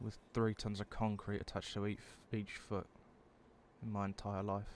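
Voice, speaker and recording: The voice is quiet, with a British accent. It moves at a moderate pace with monotone, flat intonation. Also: man. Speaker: vlogger. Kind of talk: personal confessional monologue. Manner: quiet, subdued; halting.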